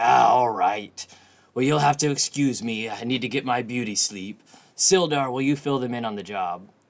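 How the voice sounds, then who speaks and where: A man's put-on character voice at a medium pitch. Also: moderate pace. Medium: actual play.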